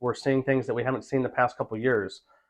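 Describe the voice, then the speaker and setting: In a monotone, flat intonation, a man talks with an American accent. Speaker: auctioneer and realtor. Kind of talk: interview answer about the real estate market. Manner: conversational, fluent, with many filler words.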